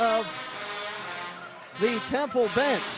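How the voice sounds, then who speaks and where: Music plays in the background as a man with an extremely high pitch speaks with lively intonation. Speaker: sports radio play-by-play announcer. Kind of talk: women's college basketball radio play-by-play, close late-game.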